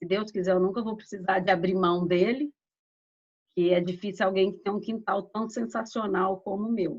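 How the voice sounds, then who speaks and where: She speaks in a normal speaking voice, a woman at medium pitch with ordinary pitch variation. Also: moderate pace. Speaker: laser therapy instructor. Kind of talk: lecture. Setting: online live stream.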